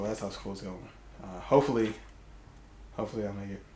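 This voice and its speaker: Audible room echo hangs around the voice of a speaking man. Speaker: YouTuber. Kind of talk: casual vlog monologue. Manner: fast.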